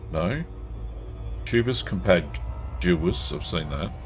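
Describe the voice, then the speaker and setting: With lively intonation, a man talks amid audible room echo. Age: 60s. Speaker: gaming streamer. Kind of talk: live gameplay stream with chat reading. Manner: casual, conversational.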